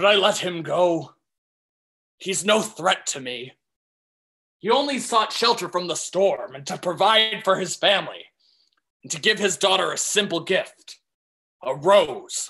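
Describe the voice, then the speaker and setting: Using a put-on character voice at a middle pitch, the speaker keeps a moderate pace broken by long, frequent pauses. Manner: anguished, brooding.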